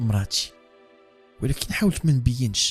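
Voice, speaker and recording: With music in the background, a man speaks at medium pitch and a moderate pace. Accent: Moroccan. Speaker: horror storyteller. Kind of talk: read horror story in Moroccan Darija.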